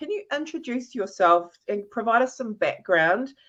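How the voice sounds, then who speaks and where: Over a quiet background, a woman with a New Zealand accent speaks in a bright, sharp tone. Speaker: interview show host, LinkedIn specialist. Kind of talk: live interview. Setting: live video stream. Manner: enthusiastic, animated.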